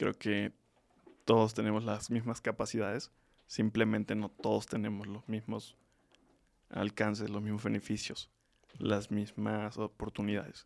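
A man's fairly low voice with vocal fry, fairly slow and monotone, flat in intonation, broken by long, frequent pauses. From Mexico, Tlaxcala. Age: 20s. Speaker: student and social entrepreneur. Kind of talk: interview.

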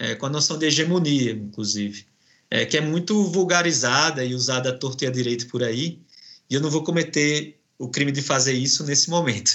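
This man speaks with a northeastern Brazilian accent at a moderate pace. His pitch is fairly high, with ordinary variation. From Brazilian Northeast. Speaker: professor. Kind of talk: academic interview. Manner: halting.

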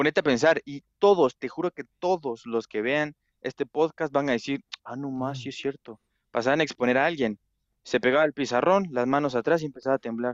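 With a normal speaking voice, a man talks at a fairly quick pace, his pitch fairly high and its variation ordinary, in a dry, close recording with no echo. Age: 20s. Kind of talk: casual chat.

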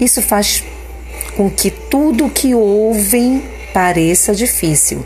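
Amid noticeable background noise, a woman with a warm, calm tone speaks at a very slow pace, leaving long, frequent pauses. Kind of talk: guided meditation, leading a spoken affirmation prayer. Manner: calm, slow, devotional, with a reflective cadence and pauses; warm, encouraging, and instructive, inviting listeners to repeat the words.

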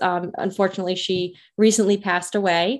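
In a quiet background, a woman talks at a medium pitch with fairly even intonation. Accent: Rhode Island. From Rhode Island. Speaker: pharmacist and sex therapist, podcast host. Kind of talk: casual monologue introduction. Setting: video recording with virtual background.

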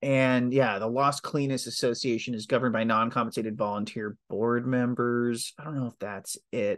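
A man with a plain, everyday voice speaks at a moderate pace and a medium pitch, with fairly even intonation, hardly any pauses and a quiet background. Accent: American. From Texas, Dallas–Fort Worth area. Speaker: journalist. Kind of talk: interview.

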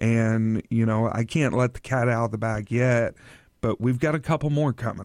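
At a moderate pace, a man with a plain, everyday voice of medium pitch keeps very even loudness and fairly even intonation, with a dry, close sound with no echo over a quiet background. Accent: American. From Oklahoma. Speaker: store owner. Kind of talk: radio interview.

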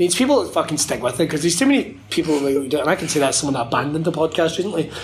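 Over noticeable background noise, a man with a Scottish accent speaks very fast at a fairly high pitch. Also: lively intonation. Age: 30s. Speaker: wrestling commentator. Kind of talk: casual chat. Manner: animated.

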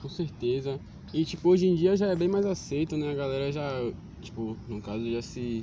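A man speaks in a normal speaking voice, fairly high in pitch, at a moderate pace. His intonation is lively. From Salvador, Bahia, Brazil. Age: 20s. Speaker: street photographer. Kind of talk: casual interview. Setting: outdoors in a public square.

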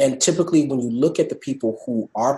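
A normal speaking voice from a man, fairly high in pitch with ordinary pitch variation. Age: 20s. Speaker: state government policy fellow. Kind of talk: interview.

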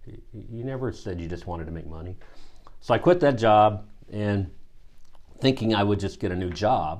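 Speaking at a moderate pace in a fairly low pitch, a man uses ordinary pitch variation and long, frequent pauses. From US Midwest, Missouri. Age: 50s. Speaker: executive coach. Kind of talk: casual chat.

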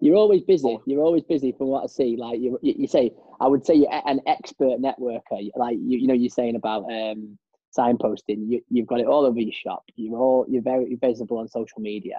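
A man talks fairly quickly in an ordinary speaking voice. His pitch is medium, with ordinary pitch variation. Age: young. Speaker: podcast host. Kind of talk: casual chat.

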